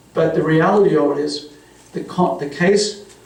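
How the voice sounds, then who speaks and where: Amid noticeable background noise and audible room echo, a man talks with an Australian accent. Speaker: forensic psychologist. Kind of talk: panel discussion. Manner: halting.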